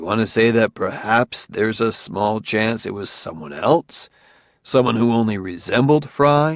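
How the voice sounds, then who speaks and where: A man in a put-on character voice growls at a medium pitch with lively intonation and a moderate pace. The sound is dry and close, with no echo. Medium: read story. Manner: badgering, humorless, smug.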